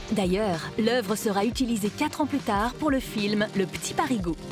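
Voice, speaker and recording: A woman's playful, medium-pitched voice at a fairly slow pace, with lively intonation and music in the background. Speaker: voice-over actress. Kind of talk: museum web series narration, educational art explainer. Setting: studio. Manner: lively, playful.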